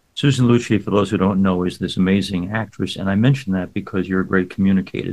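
A man's very deep, low voice at a very fast pace, with ordinary pitch variation. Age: 70s. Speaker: radio host and priest. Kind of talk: casual interview.

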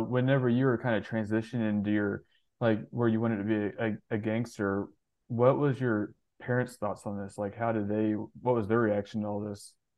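Fairly quick in pace, a man uses an ordinary speaking voice at a medium pitch with fairly even intonation. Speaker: podcast host. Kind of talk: casual interview chat.

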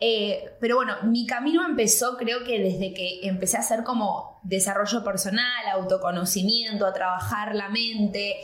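A woman with a fairly high pitch and ordinary pitch variation speaks at a moderate pace with hardly any pauses, amid audible room echo and noticeable background noise. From Argentina, raised in Miami. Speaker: actress, journalist and entrepreneur. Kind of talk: casual chat.

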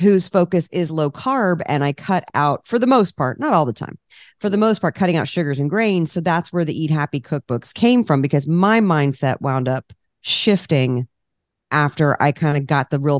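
A woman with an American accent speaks at a very deep, low pitch against a quiet background. Her tone is animated, with lively intonation at a moderate pace. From Washington D.C., US East Coast. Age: 50s. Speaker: cookbook author and food entrepreneur. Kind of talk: casual interview chat.

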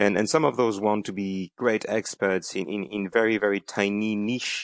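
A man with a French accent talks at a moderate pace in a fairly low voice, his pitch varying in an ordinary way, with hardly any pauses. The sound is dry and close with no echo, over a quiet background. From France. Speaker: corporate general counsel. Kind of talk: interview. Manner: halting, with frequent repetitions.

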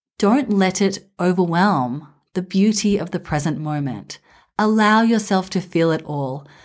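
With an Australian accent, a woman speaks at medium pitch and a fairly slow pace. Her tone is warm and calm, and her intonation lively. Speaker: podcast host for mothers. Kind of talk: reflective monologue. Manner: warm, calm.

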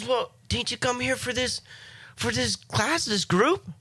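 A female-sounding voice, high-pitched for a woman, puts on a character voice at a fairly slow pace. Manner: jolly, friendly, welcoming.

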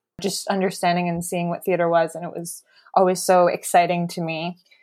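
Here is a woman with a Canadian accent and a plain, everyday voice. She speaks at medium pitch and a moderate pace. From Ontario, Canada. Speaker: playwright. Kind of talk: casual chat. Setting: video call.

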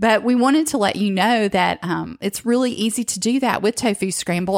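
An ordinary speaking voice with an American accent talks at a moderate pace with ordinary pitch variation, recorded dry and close with no echo. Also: woman. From northwestern Georgia, US South. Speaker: podcast host. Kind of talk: casual chat with co-host, plus sales pitch.

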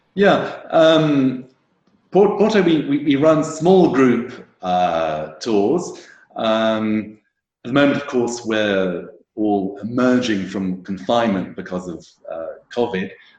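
Speaking very slowly at a medium pitch, a man swings his pitch very widely, with audible room echo. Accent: British. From England. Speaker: wine tour operator. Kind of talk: casual interview. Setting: video call. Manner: halting, many repetitions and fillers.

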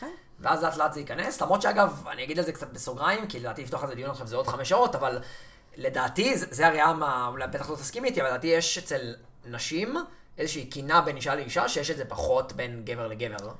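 Noticeable background noise runs under speech delivered at a very fast pace. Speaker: podcast host. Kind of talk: casual chat.

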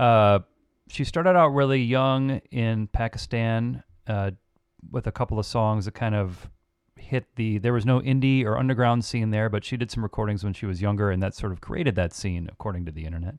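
In a dry, close recording with no echo and a quiet background, a man talks at a fairly quick pace in an ordinary speaking voice, medium in pitch with ordinary pitch variation. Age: 40s. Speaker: musician and producer. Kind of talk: casual chat.

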